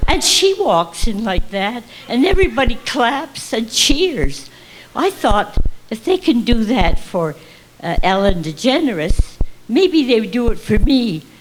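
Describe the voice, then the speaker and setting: A woman with a fairly high pitch speaks at a fairly slow pace, her voice making very wide pitch swings over noticeable background noise. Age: 80s+. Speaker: stand-up comic. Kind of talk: stand-up comedy routine.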